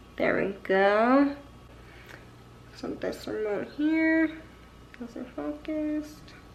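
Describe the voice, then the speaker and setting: A woman speaks at a very slow pace and a high pitch, with lively intonation and big swings in loudness. Long, frequent pauses break up her speech, and there is audible room echo. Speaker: nurse and vlogger. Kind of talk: casual unboxing vlog.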